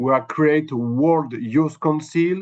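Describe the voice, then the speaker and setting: At a very slow pace, a man with a non-native accent speaks in a fairly high pitch with ordinary pitch variation. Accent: non-native English speaker. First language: French. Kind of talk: webinar presentation. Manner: halting.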